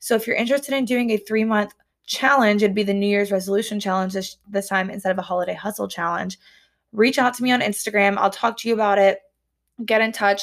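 Speaking very fast in a Southern US accent, a woman keeps a medium pitch and fairly even intonation on a very clean recording with a silent background. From US South. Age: 20s. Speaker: podcast host, dietetics student. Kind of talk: casual solo chat.

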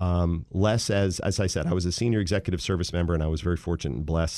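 Against a quiet background, a man with an American accent speaks at a very deep, low pitch. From US Mid-Atlantic, Wheaton, Maryland (DC area). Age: 50s. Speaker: technology executive, former government CTO. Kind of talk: radio interview.

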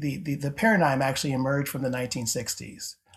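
A man speaks with an American accent. His voice is fairly high and somewhat breathy. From upstate New York (Syracuse). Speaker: theology professor. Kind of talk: interview conversation.

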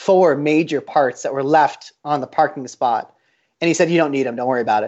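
Fairly quick and fairly high-pitched, a man with an American accent uses an unremarkable speaking voice and fairly even intonation. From Colorado, US. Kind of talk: interview.

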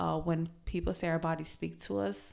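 Recorded very cleanly against a silent background, a woman with an American accent talks at a moderate pace in a fairly low pitch, an unremarkable speaking voice. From US. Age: 30s. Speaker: wellness podcaster. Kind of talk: casual monologue.

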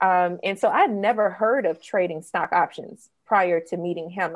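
A woman talks at a moderate pace with a fairly low pitch and an American accent, in a normal speaking voice. Her intonation stays fairly even against a quiet background. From US South, Mississippi (Jackson suburb). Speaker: copywriter and entrepreneur. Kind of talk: interview conversation.

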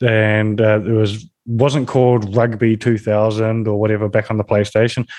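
Keeping his loudness very even, a man with a New Zealand accent talks at a moderate pace in a fairly low, monotone, flat voice. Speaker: business development manager, influencer marketer. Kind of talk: interview podcast.

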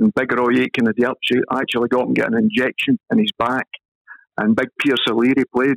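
Medium pitch, fairly quick pace and monotone, flat intonation from a man with a Scottish accent, in a dry, close sound with no echo. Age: 50s. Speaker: former professional footballer. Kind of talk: casual interview.

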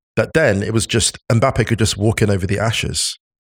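A plain, everyday voice moves at a moderate pace. The recording is very clean and the background silent. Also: man. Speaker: football pundit. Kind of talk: casual chat.

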